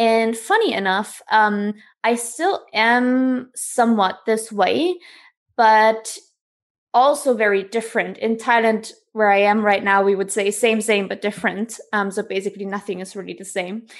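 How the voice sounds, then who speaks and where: Against a quiet background, a woman with a German accent speaks fairly slowly in a fairly high pitch with fairly even intonation. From East Germany. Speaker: author. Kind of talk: interview. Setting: video call.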